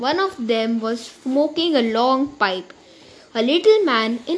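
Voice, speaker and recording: A woman's high voice at a very slow pace, ordinary pitch variation, and noticeable background noise. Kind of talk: literary audiobook reading, narrated story with character voices for Harry and Hagrid. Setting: recorded audiobook.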